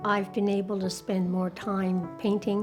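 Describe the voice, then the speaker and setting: A woman's voice at medium pitch over music in the background. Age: 70s. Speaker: retired widow, painter. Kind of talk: interview answer.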